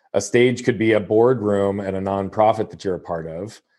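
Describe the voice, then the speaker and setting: A man speaks at a moderate pace in a fairly low voice with fairly even intonation. The background is quiet. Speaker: motivational speaker and coach. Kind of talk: podcast interview. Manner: measured, calibrated.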